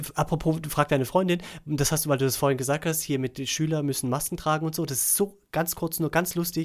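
A man's fairly high voice with fairly even intonation at a very fast pace, on a very clean recording with a silent background. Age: 40s. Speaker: podcast co-host. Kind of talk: casual chat.

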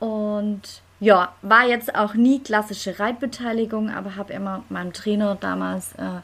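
A woman talks in an ordinary speaking voice with a fairly high pitch, ordinary pitch variation and a moderate pace. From Stuttgart, Germany. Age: 30s. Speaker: lawyer and dressage rider. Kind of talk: casual interview.

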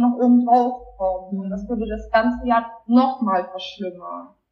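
A woman talks at a fairly slow pace with a fairly high pitch and ordinary pitch variation. Hers is an ordinary speaking voice. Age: 20s. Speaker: person with lived experience of borderline. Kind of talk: personal testimony interview.

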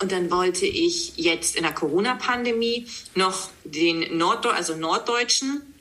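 Over noticeable background noise, a woman speaks at a fairly slow pace, her pitch swinging very widely. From East Frisia, northern Germany. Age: 30s. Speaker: news presenter and author. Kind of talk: podcast interview.

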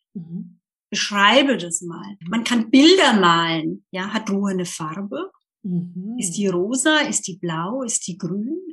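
A woman talks at a very slow pace and a medium pitch. Her intonation is lively, with big swings in loudness. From Germany, Lower Franconia. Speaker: communication trainer. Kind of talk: interview.

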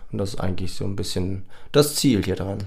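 This man has a fairly low pitch. He speaks at a moderate pace. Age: 30s. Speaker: podcast co-host, van traveller. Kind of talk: casual chat.

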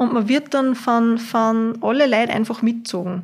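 A woman with an unremarkable speaking voice talks at a fairly high pitch, her intonation fairly even. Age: 20s. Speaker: university student. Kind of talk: casual interview.

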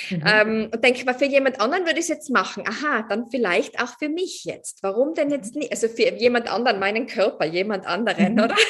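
Talking at a fairly quick pace with hardly any pauses, a woman uses a high pitch and lively intonation over noticeable background noise. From Austria, Tyrol. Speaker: coach. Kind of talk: interview.

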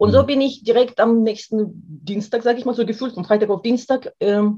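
A woman with a non-native accent speaks at a fairly high pitch. Her voice is somewhat breathy, with a dark, mellow tone. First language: not German (speaking German). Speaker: therapist and former dancer. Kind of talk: interview. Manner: animated.

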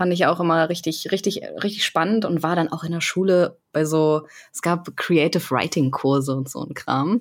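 Her voice is an unremarkable speaking voice, pitched fairly low for a woman. She keeps a moderate pace and fairly even intonation. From Berlin. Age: 30s. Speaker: video editor and esports team member. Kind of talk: casual chat.

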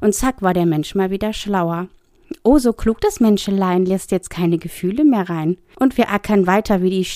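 Reading in a natural voice

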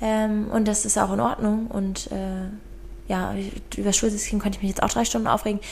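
A woman talks at a fairly quick pace with a medium pitch and monotone, flat intonation. Audible room echo and noticeable background noise fill the recording. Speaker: podcast co-host. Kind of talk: casual chat.

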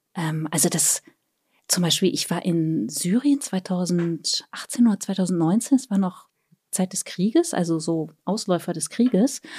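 Speaking very slowly, a woman of medium pitch has a dark, mellow, somewhat breathy tone and lively intonation, in a dry, close sound with no echo on a very clean recording with a silent background. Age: 40s. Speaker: author and traveller. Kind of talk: casual chat.

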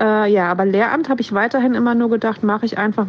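Against noticeable background noise, a woman talks at a fairly high pitch. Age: 40s. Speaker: teacher. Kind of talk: personal account.

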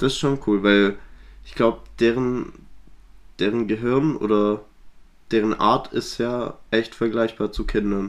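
A man speaks at a very slow pace with long, frequent pauses. His pitch is medium and his intonation fairly even. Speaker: podcast co-host. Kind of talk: casual chat.

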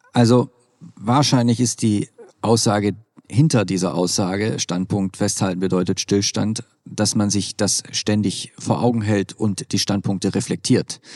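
A man with a plain, everyday voice talks at a fairly slow pace with ordinary pitch variation. The sound is dry and close, with no echo. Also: fairly low pitch for a man. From Swabia, southwest Germany. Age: 40s. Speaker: nonprofit managing director and keynote speaker. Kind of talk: interview. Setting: at a conference.

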